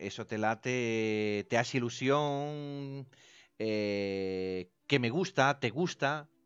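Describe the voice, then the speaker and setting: Against a quiet background, a man talks very slowly in an Italian accent. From Italy. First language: Italian (speaking Spanish). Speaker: radio station director. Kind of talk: casual chat.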